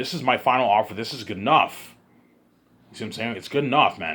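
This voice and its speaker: Putting on a raspy character voice, a man of medium pitch talks at a very fast pace. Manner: assertive, insistent.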